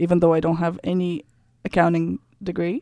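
Someone with a Russian accent speaks at a moderate pace in a very clean recording with a silent background and a dry, close sound with no echo. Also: woman. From Kazakhstan. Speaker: entrepreneur and personal coach. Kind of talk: interview. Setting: studio.

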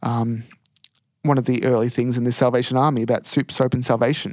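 Speaking fairly quickly with an Australian accent, a man keeps a medium pitch and a flat, monotone intonation. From Australia, country Victoria. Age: 20s. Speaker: first-year officer cadet. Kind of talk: casual interview. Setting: prayer room at a training college.

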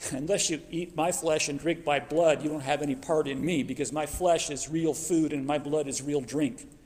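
Speaking at a moderate pace, the man uses an unremarkable speaking voice that is fairly high in pitch, with fairly even intonation. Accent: American. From US Southwest, Phoenix. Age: 50s. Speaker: preacher. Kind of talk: sermon.

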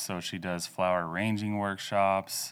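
A man in an American accent, very deep and low in pitch, with monotone, flat intonation at a very slow pace. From Oklahoma, Osage County. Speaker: farmer and engineer. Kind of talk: casual interview.

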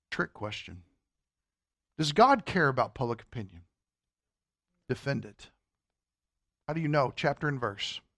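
A man with an American accent, fairly high in pitch and with vocal fry, lively intonation, big swings in loudness, a moderate pace, long and frequent pauses, and a dry, close sound with no echo. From Kentucky. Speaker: Sunday school teacher. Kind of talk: Bible class lecture.

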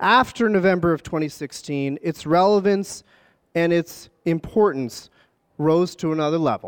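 A man with an American accent talks in a high voice at a moderate pace, with ordinary pitch variation. The recording is very clean, with a silent background. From Philadelphia area. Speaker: public market manager. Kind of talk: interview.

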